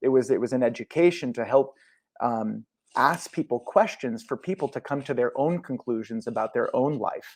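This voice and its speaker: In a plain, everyday voice, a man with an American accent talks at a moderate pace and medium pitch with ordinary pitch variation, the sound dry and close with no echo over a quiet background. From US Midwest, St. Louis, Missouri. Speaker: former member of a self-help group, Tourette's advocate. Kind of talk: podcast interview.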